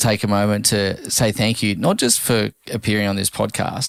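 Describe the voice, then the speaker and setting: A man speaks at a fairly low pitch with an Australian accent. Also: dry, close sound with no echo. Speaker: podcast host, dentist. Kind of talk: interview.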